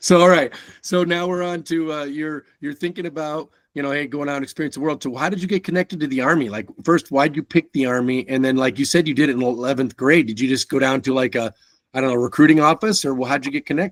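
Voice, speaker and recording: Someone speaks at a very fast pace with an American accent. The recording is very clean, with a silent background. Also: man, fairly high pitch for a man, ordinary pitch variation, dry, close sound with no echo. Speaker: podcast host. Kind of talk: casual interview.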